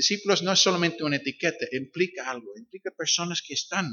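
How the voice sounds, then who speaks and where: A man with an English accent, lively intonation and a fairly quick pace. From Northern Ireland. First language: English (speaking Spanish). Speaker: visiting pastor. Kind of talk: sermon. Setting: church.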